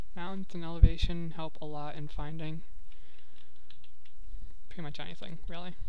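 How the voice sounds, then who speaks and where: The pace is moderate. Long pauses come frequently. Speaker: video game let's player. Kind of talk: casual gameplay commentary. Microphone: headset.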